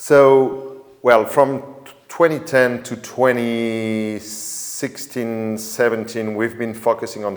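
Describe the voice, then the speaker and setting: With a French accent, a man speaks at medium pitch with fairly even intonation. Noticeable background noise is present. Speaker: drone company sales manager. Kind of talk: webinar conversation. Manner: halting.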